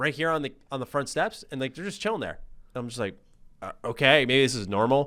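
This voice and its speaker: A man talks at a very fast pace and medium pitch with an American accent. His tone is bright, sharp and animated, with lively intonation. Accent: slight New York accent on some words. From US, New York City. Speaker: gaming YouTuber. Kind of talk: casual chat.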